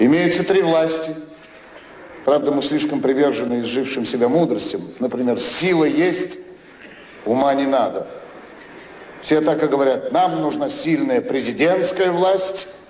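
Lively intonation from a man at a fairly slow pace, with long, frequent pauses, audible room echo, and light background noise. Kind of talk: satirical stage monologue. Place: stage. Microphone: podium.

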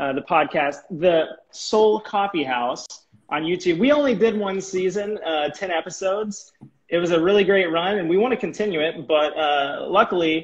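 A man's high voice at a moderate pace, with ordinary pitch variation. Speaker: live stream host. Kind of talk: casual live stream chat. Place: home room. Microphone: earbuds.

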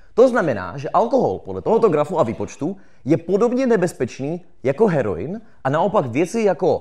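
A man speaks with very wide pitch swings and vocal fry. His tone is animated, and the background is quiet. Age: 20s. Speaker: political science graduate and YouTuber; YouTuber. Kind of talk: live talk to audience. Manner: fast. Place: stage. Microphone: handheld.

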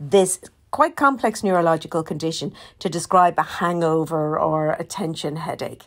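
This woman's voice sits fairly low in pitch, with ordinary pitch variation. She talks at a moderate pace. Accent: Irish. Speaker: podcast host and documentary maker. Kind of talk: casual announcement. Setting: hotel room. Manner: hesitant, many fillers.

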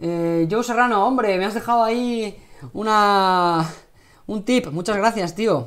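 Against a quiet background, a man with a Spanish accent talks at a very slow pace. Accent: Peninsular Spanish. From Spain. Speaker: cooking channel host. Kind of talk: live cooking stream. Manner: casual, chatty. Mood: relaxed, friendly. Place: kitchen. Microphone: lapel.

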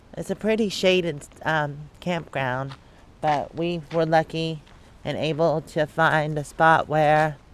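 A woman's very deep, low voice at a very slow pace, with fairly even intonation, a dry sound with no echo and light background noise. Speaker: travel vlogger. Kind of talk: casual vlog chat.

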